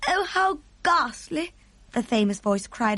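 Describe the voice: The text is read aloud plainly. It is a straightforward reading.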